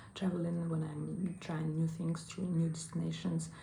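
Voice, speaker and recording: With a Russian accent, a woman talks at a moderate pace. Audible room echo surrounds her voice. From Russia, small provincial town. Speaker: online English teacher and travel vlogger. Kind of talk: casual vlog monologue. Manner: hesitant, many fillers.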